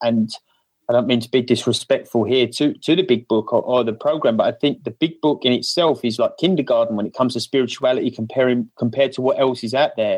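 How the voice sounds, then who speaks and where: A man speaks with an Essex accent. His pace is fairly quick. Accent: cockney Essex. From UK, Essex. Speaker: podcast panel guest. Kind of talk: casual conversational.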